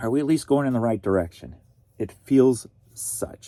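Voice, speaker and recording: A man speaks in a dark, mellow tone at a medium pitch, with ordinary pitch variation. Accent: American. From US Midwest, St. Louis, Missouri. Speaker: online reseller. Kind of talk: casual chat.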